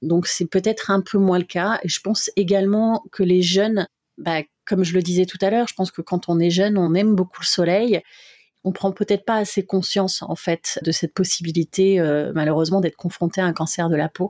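The recording is very clean, with a silent background and a dry, close sound with no echo. A woman talks at a fairly quick pace with fairly even intonation. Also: medium pitch for a woman. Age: 40s. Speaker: heart-lung transplant patient and association volunteer. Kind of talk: testimony. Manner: hesitant with fillers.

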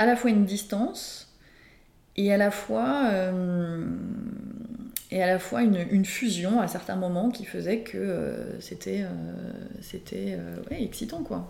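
Very slow speech broken by long, frequent pauses, with audible room echo. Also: woman. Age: 40s. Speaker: entrepreneur sharing her life story. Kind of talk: personal testimony interview. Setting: casual aperitif among friends. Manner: hesitant, with frequent fillers.

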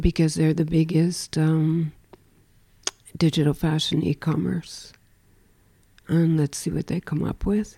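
A woman with an American accent speaks in a very deep, low pitch and a dark, mellow tone. Her delivery is fairly slow and monotone, with long, frequent pauses. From United States. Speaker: fashion film festival founder. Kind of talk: interview.

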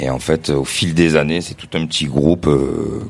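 A man at a moderate pace, his intonation flat and monotone. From Marseille, France. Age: 30s. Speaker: DJ collective co-founder. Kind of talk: live podcast interview. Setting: stage with live audience.

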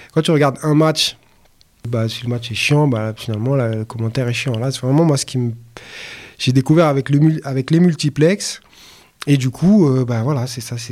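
A man speaks at medium pitch and a moderate pace with ordinary pitch variation. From Paris, 18th arrondissement. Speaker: rapper. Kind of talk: casual interview. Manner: halting.

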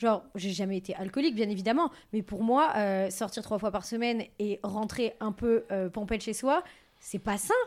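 Recorded very cleanly against a silent background, an unremarkable speaking voice moves at a moderate pace with ordinary pitch variation. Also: woman, fairly high pitch for a woman. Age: 20s. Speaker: youtuber and content creator. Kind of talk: casual chat.

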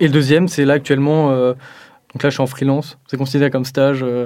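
Recorded very cleanly with a silent background, a man with a fairly high voice speaks in a flat monotone. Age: 20s. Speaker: computer science student. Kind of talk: interview testimony.

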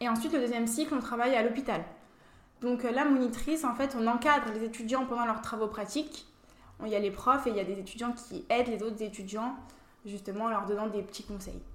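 Speech comes at a very fast pace with ordinary pitch variation. Noticeable background noise and audible room echo are present. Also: woman. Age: 20s. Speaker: beauty pageant winner and dental student. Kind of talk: interview.

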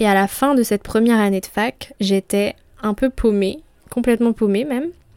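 At a moderate pace, a woman talks in a normal speaking voice with fairly high pitch and ordinary pitch variation, the sound dry and close with no echo. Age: 20s. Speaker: podcast host. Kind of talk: solo monologue podcast. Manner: casual.

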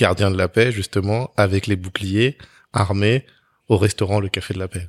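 On a very clean recording with a silent background and a dry, close sound with no echo, a man with an unremarkable speaking voice talks at a fairly low pitch and moderate pace with fairly even intonation. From France, Togolese-Beninese family. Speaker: podcast host, consultant. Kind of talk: interview. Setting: art gallery.

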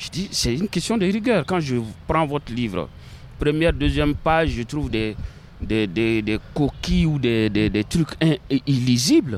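His pitch is medium and swings very widely. The man talks at a fairly slow pace. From Mali. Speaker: librarian and novelist. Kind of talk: interview. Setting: outdoors in gardens. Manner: halting, many repetitions.

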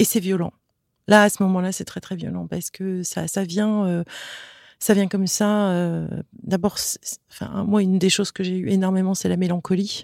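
In a very clean recording with a silent background, a woman talks at a moderate pace and medium pitch, her intonation flat and monotone, with long, frequent pauses. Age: 50s. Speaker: digital strategy consultant, social media account founder. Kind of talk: interview testimony. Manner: hesitant, with repetitions.

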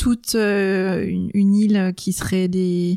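This woman's voice sits at a medium pitch and stays monotone and flat. The sound is dry and close with no echo, on a very clean recording with a silent background. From Brittany, France. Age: 40s. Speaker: coach. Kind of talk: casual chat. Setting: living room. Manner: hesitant.

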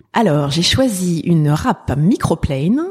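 With a dark, mellow tone, a woman speaks at a fairly low pitch. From Paris (19th arrondissement). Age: 50s. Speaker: pastry entrepreneur. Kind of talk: interview.

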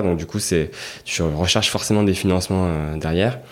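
At a fairly quick pace, a man talks with a very deep, low pitch. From Marseille, southern France. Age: 30s. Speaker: festival founder. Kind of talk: interview. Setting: guest's office.

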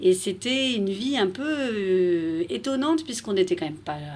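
Through noticeable background noise, a woman at medium pitch speaks with very wide pitch swings. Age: 40s. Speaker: expat mother. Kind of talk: interview.

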